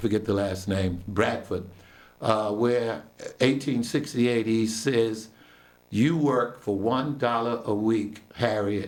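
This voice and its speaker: Over audible room echo, a man of medium pitch speaks at a very slow pace with very even loudness. His intonation stays fairly even. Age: 60s. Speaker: local historian. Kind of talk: radio interview.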